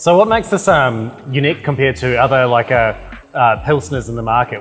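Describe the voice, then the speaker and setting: A man with a New Zealand accent at a medium pitch, fairly quick pace and ordinary pitch variation, with music in the background. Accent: Kiwi accent, some. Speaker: brewery retail manager. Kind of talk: casual chat.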